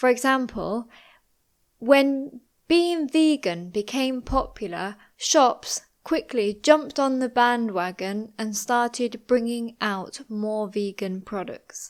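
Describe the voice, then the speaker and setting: At a very slow pace, a woman speaks in a high pitch with ordinary variation, in a very clean recording with a silent background. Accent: British. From British. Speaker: English teacher. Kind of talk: English lesson narration. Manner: slow, clear.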